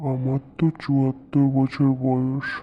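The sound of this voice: The delivery is a cartoonish character voice. Its intonation stays flat and monotone. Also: man, medium pitch for a man.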